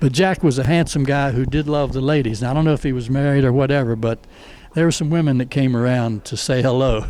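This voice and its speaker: This man has an American accent and a medium pitch. He talks at a very fast pace with fairly even intonation. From Northern Virginia. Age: 80s+. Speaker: retired teacher and coach. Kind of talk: interview answer.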